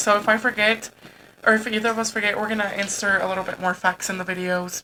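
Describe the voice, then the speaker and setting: A woman's bright, sharp voice at a fairly high pitch, very fast in pace, with fairly even intonation. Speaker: podcast co-host. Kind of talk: casual chat.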